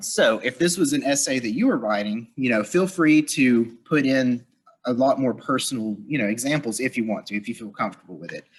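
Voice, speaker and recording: A man speaks with lively intonation at a fairly quick pace. His pitch is medium. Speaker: workshop presenter. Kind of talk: lecture. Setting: live audience with virtual viewers. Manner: fast.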